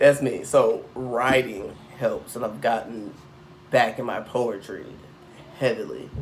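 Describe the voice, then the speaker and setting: A man talks at a very slow pace with long, frequent pauses. Music plays in the background, and the room echo is audible. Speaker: tarot reader. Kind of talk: casual monologue. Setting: indoors with incense burning. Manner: long-winded, looping.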